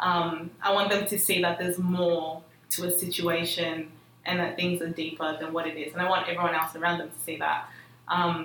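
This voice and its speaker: A woman with an Australian accent talks at a moderate pace in a fairly low pitch. Audible room echo and noticeable background noise surround her. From Melbourne western suburbs, Australia. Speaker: student organisation leader. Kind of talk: casual chat.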